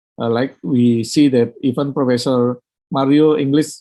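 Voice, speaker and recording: Speaking at a fairly slow pace, a man with a fairly high pitch has a dark, mellow tone. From Indonesia. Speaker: university lecturer. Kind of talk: webinar presentation. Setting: online webinar. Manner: halting, many fillers.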